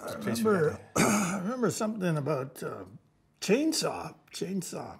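A man's raspy put-on character voice, high-pitched with very wide pitch swings, at a moderate pace. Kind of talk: acted dramatic dialogue. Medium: short film. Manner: halting, confused.

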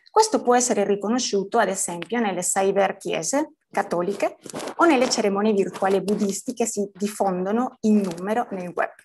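The woman's voice sits at a medium pitch with ordinary pitch variation. She speaks at a moderate pace. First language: Spanish (speaking Italian). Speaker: PhD student in semiotics. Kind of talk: conference talk.

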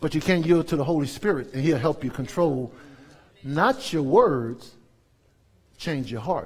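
Here a man with an American accent talks at a fairly slow pace in a fairly high pitch. His tone is animated. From US South, New Orleans; Louisiana. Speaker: pastor. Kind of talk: sermon. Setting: church. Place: church. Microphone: headset.

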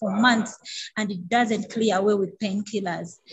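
A woman speaks at a moderate pace with a somewhat breathy, fairly high voice and fairly even intonation over light background noise. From Uganda. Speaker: nurse and patient advocate. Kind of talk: testimony. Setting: video call. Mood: earnest, emotional. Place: home room. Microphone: video call.

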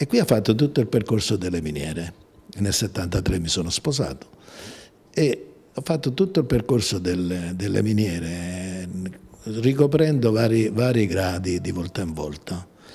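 Fairly low in pitch and dark, mellow in tone, a man speaks at a fairly slow pace with lively intonation, a somewhat breathy quality, and long, frequent pauses. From southern Italy, Amalfi coast; southern Italy. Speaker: company president, engineer. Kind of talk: interview; interview answer. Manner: halting, many hesitations. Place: office. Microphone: handheld.

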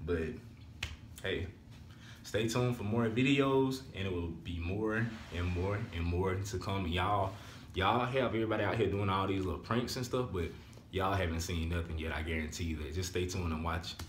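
Over light background noise and audible room echo, a man speaks with a very deep, low pitch. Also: ordinary pitch variation, moderate pace. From Alabama. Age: 20s. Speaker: vlogger. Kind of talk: casual vlog talk to camera. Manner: animated. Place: home room. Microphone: phone near.

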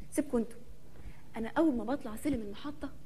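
Talking at a very fast pace, a woman uses ordinary pitch variation. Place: stage.

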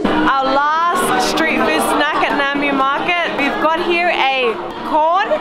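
Over clear crowd noise and clear music in the background, a woman speaks at a high pitch with ordinary pitch variation.

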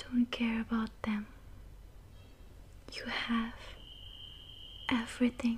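Over light background noise, a soft-spoken woman with a fairly high pitch talks at a very slow pace in a monotone, flat intonation, with long, frequent pauses. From India. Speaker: ASMR creator. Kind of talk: ASMR relaxation talk with affirmations. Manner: soft, calming, slow. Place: home room.

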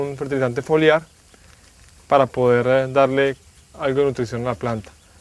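A man talks at a fairly quick pace, his voice dry with no echo. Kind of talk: tutorial explanation for agricultural TV. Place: garden.

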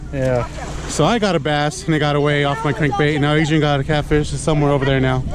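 The speech comes at a fairly quick pace with very even loudness, over noticeable background noise. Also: man. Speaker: vlogger. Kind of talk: casual vlog narration. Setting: outdoors. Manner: animated.

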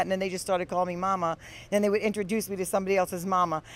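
Speech comes at a very fast pace in a dry sound with no echo. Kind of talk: interview answer. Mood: cheerful, laughing. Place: bar. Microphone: handheld.

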